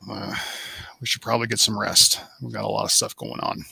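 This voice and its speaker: A raspy, put-on character voice races along at a fairly quick pace. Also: man. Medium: actual play. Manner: dry, practical.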